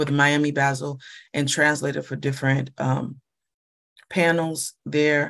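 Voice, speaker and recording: A woman talks with a very deep, low pitch in a quiet background. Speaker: panel moderator and scholar; panelist. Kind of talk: moderated online roundtable. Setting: video call. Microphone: video call.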